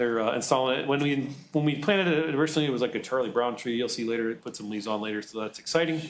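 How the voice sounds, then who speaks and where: A man's voice with ordinary pitch variation and audible room echo. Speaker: public works superintendent. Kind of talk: public presentation. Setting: city council meeting. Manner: fast.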